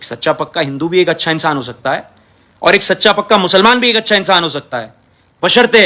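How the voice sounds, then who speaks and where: A man speaks at a moderate pace in a bright, sharp tone. His intonation is lively. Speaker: politician. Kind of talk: impassioned video statement. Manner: aggressive, forceful.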